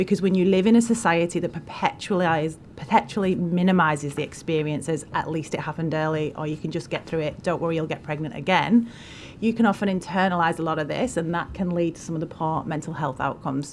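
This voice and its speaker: A woman talks very fast in a northern English accent. Her pitch is fairly low, with ordinary variation. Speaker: charity representative, witness at parliamentary inquiry. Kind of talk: testimony. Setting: parliamentary committee hearing.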